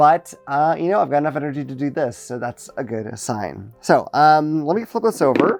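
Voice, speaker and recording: With music in the background, a man speaks at a fairly high pitch and a moderate pace, with hardly any pauses. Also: lively intonation. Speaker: board game reviewer. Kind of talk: unboxing video. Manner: casual, hesitant.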